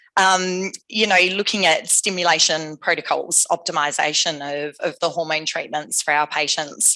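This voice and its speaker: In a strong Australian accent, a woman speaks at a moderate pace with hardly any pauses and fairly even intonation. Her fairly low voice has a bright, sharp tone over a quiet background. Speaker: AI scientist, company founder. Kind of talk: conference talk.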